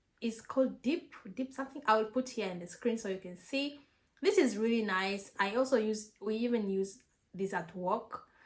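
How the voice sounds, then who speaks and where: Somewhat breathy speech at a moderate pace, with ordinary pitch variation and big swings in loudness. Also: woman, fairly high pitch for a woman. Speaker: vlogger. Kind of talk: casual advice vlog. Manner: halting with repetitions.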